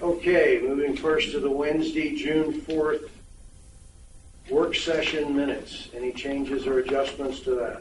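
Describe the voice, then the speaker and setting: A man talks at a fairly slow pace with a fairly high pitch and fairly even intonation. Audible room echo and noticeable background noise come through. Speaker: board president chairing meeting. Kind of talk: chairing a board meeting. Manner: loud.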